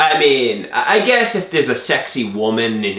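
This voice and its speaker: A man speaks with a Long Island accent. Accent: Long Island New York. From Long Island, New York. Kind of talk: casual talk to camera.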